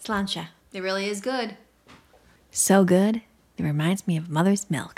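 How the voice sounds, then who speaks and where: Using a normal speaking voice, a woman with an American accent speaks at medium pitch and moderate pace with ordinary pitch variation. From Iowa. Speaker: podcast co-host. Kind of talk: casual chat.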